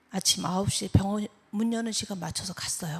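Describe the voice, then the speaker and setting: Ordinary pitch variation in a woman's somewhat breathy voice. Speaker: church member giving testimony. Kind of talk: testimony.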